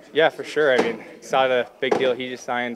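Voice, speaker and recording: A man talks at a fairly quick pace. Loud background noise is present behind him. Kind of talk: interview answer. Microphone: handheld.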